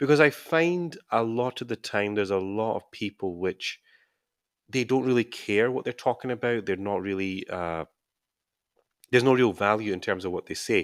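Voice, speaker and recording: A fairly low-pitched man with a Scottish accent and ordinary pitch variation, at a moderate pace, in a dry, close, very clean recording with a silent background and no echo. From Scotland. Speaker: YouTuber and scrum master coach. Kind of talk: live stream Q&A. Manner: casual, with hesitations and repetitions.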